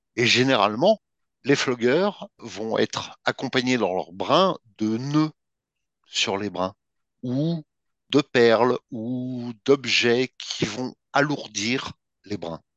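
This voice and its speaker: In a quiet background, a man talks at a very slow pace with long, frequent pauses. His medium-pitched voice has lively intonation and a dry, close sound with no echo. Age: 50s. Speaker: BDSM practitioner and article writer. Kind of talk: interview.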